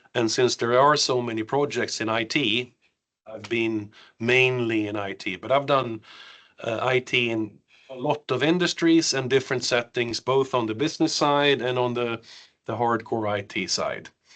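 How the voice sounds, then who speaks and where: With a Swedish accent, a man speaks at a medium pitch and a moderate pace, his intonation fairly even over a quiet background. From Sweden, Värmland; partly raised in the US. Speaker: cultural trainer and IT project manager. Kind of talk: training session. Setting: room with audience and online participants.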